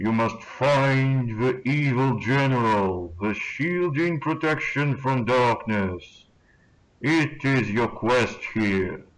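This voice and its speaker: A booming, put-on character voice speaks at a very slow pace. Its loudness stays very even. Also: man, medium pitch for a man. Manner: commanding.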